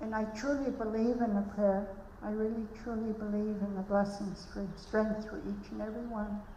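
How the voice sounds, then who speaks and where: A woman with a fairly high voice speaks at a fairly slow pace. Noticeable background noise and audible room echo come through. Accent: British Columbia. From Malahat Nation, Vancouver Island, Canada. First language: Halkomelem. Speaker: elder giving a blessing. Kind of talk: ceremonial blessing speech.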